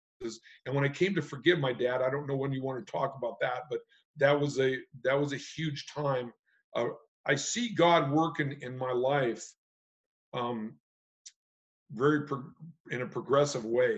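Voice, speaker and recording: A man with an American accent speaks at a moderate pace in a fairly high, somewhat breathy voice, using ordinary pitch variation and long, frequent pauses. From California. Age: 60s. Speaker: retired hunting and fishing guide. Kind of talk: testimony. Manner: halting.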